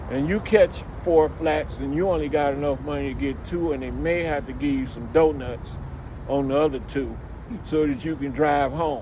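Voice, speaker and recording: Audible room echo and noticeable background noise surround this recording. A man with an American accent speaks at a moderate pace. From Detroit, Michigan, US. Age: 60s. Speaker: music industry veteran. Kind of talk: casual interview chat. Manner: animated.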